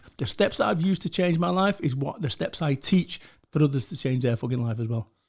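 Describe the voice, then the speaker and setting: In a Mancunian accent, a man speaks very fast at a fairly high pitch with lively intonation and an animated tone. His voice is somewhat breathy, on a very clean recording with a silent background. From northern England, Salford, Greater Manchester. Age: 40s. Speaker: motivational speaker. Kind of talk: podcast interview, casual chat. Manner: animated, heavy swearing.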